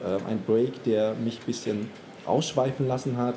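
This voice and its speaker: A man speaks at a fairly slow pace, his intonation fairly even, while noticeable background noise carries on. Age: 30s. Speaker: fashion retail manager. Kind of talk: casual interview. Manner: hesitant, many fillers.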